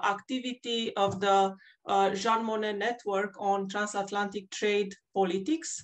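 A woman at a moderate pace with fairly even intonation, against a quiet background. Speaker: panel moderator. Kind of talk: formal introduction. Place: home room. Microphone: webcam.

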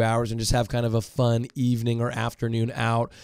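The sound is dry with no echo, over a quiet background. The pace is moderate. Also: man. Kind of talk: informational talk to camera. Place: studio. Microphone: studio mic.

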